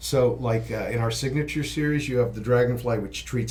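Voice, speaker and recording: Audible room echo surrounds a man's somewhat breathy voice. His medium pitch shows ordinary variation. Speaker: microphone company representative. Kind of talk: casual interview.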